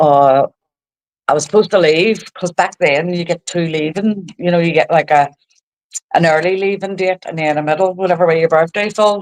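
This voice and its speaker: A woman with a Belfast accent talks at a moderate pace in a fairly low voice with fairly even intonation. The sound is dry and close, with no echo. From Northern Ireland, East Belfast. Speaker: social media creator. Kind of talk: casual interview.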